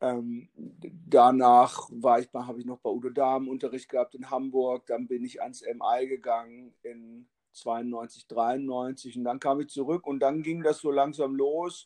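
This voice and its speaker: A man talks at a very slow pace and a medium pitch. His intonation is monotone and flat. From northern Germany, Lower Saxony (Hannover, Braunschweig). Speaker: drummer and drum teacher. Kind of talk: casual interview. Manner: halting.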